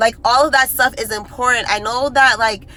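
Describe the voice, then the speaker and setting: A woman's fairly high voice at a moderate pace, fairly even in intonation, with noticeable background noise. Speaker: social media creator. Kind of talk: direct-to-camera monologue. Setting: self-recorded video. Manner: earnest, impassioned.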